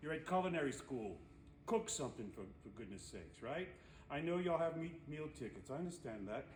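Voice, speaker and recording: Amid noticeable background noise and audible room echo, a man talks at a fairly quick pace and fairly high pitch, his pitch swinging very widely. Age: 60s. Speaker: culinary instructor. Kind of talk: tutorial. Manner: casual, conversational.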